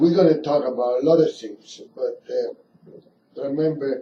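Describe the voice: At a fairly slow pace, a man of medium pitch speaks in a dark, mellow tone with ordinary pitch variation.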